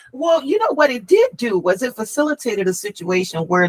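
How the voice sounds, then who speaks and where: A woman's pitch swings very widely. Noticeable background noise runs underneath. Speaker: author. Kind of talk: casual chat. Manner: halting.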